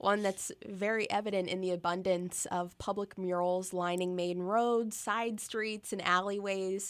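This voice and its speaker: A woman with an American accent at a medium pitch and fairly slow pace, flat and monotone, on a very clean recording with a silent background. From Pennsylvania, US. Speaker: tourism content director. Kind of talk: casual interview. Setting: radio studio.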